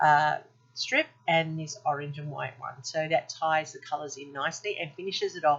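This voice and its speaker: Ordinary pitch variation marks this voice, heard with an Australian accent. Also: woman. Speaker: scrapbooking video creator. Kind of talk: craft tutorial voiceover. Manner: fast; casual, with fillers.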